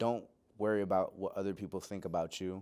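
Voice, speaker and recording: A man speaks with a slight Puerto Rican accent and fairly even intonation. The recording is very clean, with a silent background. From Pennsylvania (Lebanon and Lancaster), born in Puerto Rico. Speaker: graduate student and musician. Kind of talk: interview. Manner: hesitant, many fillers.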